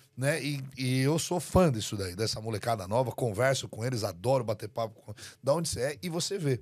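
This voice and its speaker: A man talks at a fairly quick pace in a medium pitch, with lively intonation. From Brazil. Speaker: real estate agent. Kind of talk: casual chat.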